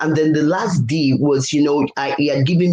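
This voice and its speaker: A woman's very deep, low voice comes through over noticeable background noise. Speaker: leadership coach. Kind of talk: interview.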